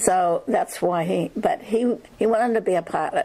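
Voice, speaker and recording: With a western Pennsylvania accent, a woman speaks fairly slowly with lively intonation over noticeable background noise. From western Pennsylvania, Armstrong County. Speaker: oral history narrator. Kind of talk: oral history interview. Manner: halting.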